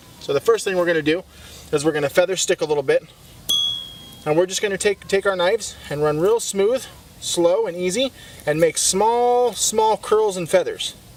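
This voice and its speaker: A man with a high pitch talks at a moderate pace, leaving long, frequent pauses. Noticeable background noise sits behind him. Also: ordinary pitch variation. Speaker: outdoor survival instructor. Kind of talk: tutorial. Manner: quiet, hushed.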